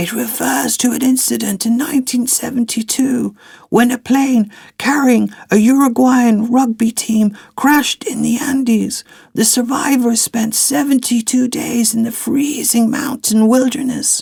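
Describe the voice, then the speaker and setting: At a moderate pace, a put-on character voice holds a fairly even intonation. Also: man, extremely high pitch for a man. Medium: read story. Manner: calm, measured, lecturing.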